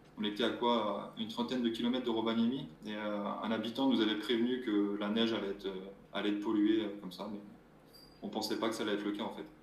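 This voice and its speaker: A medium-pitched man at a very fast pace, monotone and flat, with audible room echo and noticeable background noise. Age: 20s. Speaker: mobile gendarme and adventurer. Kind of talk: interview.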